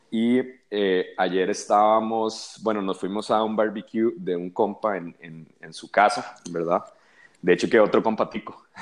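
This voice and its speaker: A man with a plain, everyday voice speaks at a fairly low pitch and a fairly slow pace, with ordinary pitch variation. His loudness swings widely against a quiet background. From Costa Rica. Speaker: musician. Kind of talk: casual chat.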